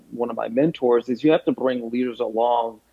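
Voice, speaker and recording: Medium pitch from a male speaker, his intonation fairly even throughout. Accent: American. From US South. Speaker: chief inclusion officer. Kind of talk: podcast interview.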